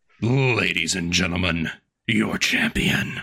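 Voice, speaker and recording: Booming in a very deep, low pitch, a man does a put-on character voice at a fairly slow pace. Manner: loud, showy hype-man announcing.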